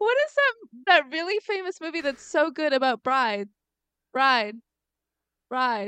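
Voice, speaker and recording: Raised and projected, a woman's high-pitched voice has a bright, sharp, animated tone and very wide pitch swings, broken by long, frequent pauses, in a dry, close sound with no echo. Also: fairly slow pace. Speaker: podcast co-host. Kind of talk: casual chat. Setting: remote recording over internet audio. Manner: animated, high peaks.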